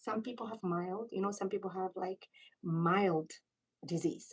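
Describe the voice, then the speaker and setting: Somewhat breathy, the voice moves through ordinary pitch variation. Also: woman. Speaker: pulmonary critical care doctor. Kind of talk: live-stream medical teaching. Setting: live stream. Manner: fast; animated.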